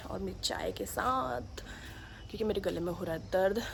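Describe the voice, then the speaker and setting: A woman speaks in an animated tone. Audible room echo and noticeable background noise surround her voice. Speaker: family vlogger. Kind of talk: casual vlog talk. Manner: chatty, animated.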